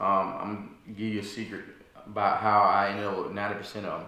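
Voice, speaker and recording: Audible room echo surrounds a man's fairly low voice with a bright, sharp tone. His intonation is monotone and flat. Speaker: video creator. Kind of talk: casual vlog chat. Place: home room. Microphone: camera far.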